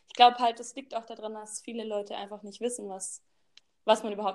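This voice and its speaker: Here a woman talks fairly quickly at a fairly high pitch in a normal speaking voice. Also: big swings in loudness. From Baden-Württemberg, Germany. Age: 20s. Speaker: social pedagogue, recent graduate. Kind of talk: casual chat. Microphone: too quiet.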